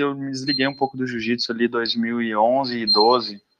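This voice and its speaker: A man with an unremarkable speaking voice talks at a moderate pace and medium pitch. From Minas Gerais, Brazil (Belo Horizonte, Sete Lagoas). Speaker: jiu-jitsu athlete. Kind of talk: casual interview chat.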